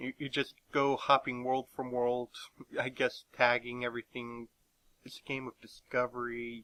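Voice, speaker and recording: A man talks at a moderate pace and medium pitch in a monotone, flat intonation. The sound is dry and close with no echo. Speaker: gaming youtuber. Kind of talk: casual monologue. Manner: halting, many fillers.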